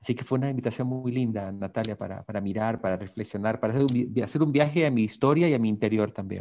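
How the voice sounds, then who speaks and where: A man with a medium-pitched, dark, mellow tone talks at a very fast pace with hardly any pauses and ordinary pitch variation. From Ecuador, coast (Guayaquil). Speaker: ontological coach. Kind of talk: interview.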